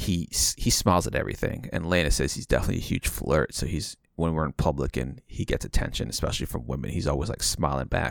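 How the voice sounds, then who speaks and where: A man talks at a fairly quick pace with a very deep, low pitch and vocal fry. His intonation is lively, and the recording is very clean with a silent background. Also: dry, close sound with no echo. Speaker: podcast host. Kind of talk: casual chat. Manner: hesitant, filler-heavy.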